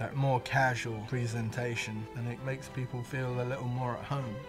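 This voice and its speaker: The voice keeps a fairly even intonation while music plays clearly in the background. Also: man. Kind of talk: interview answer. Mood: relaxed, warm.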